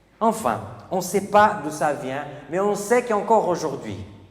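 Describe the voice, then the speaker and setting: A man's high pitch and lively intonation, with music in the background. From Portugal (Porto). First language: Portuguese (speaking French). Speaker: preacher. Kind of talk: sermon.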